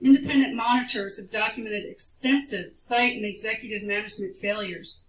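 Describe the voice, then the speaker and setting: A woman talks with a fairly high pitch and ordinary pitch variation. Audible room echo surrounds her voice. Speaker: expert witness. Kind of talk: testimony. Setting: public hearing before a commission. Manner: formal.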